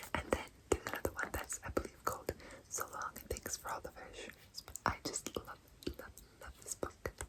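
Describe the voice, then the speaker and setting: Whispering at a moderate pace, a woman leaves long, frequent pauses amid noticeable background noise. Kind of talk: ASMR whispered show and tell. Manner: whispered, soft, relaxing.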